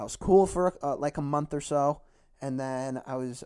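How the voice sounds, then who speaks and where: With an American accent, a man speaks at a fairly high pitch in a dark, mellow tone, in a very clean recording with a silent background. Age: 20s. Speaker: podcast host and high school football coach. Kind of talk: casual solo monologue. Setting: home basement recording. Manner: halting, many fillers; not loud.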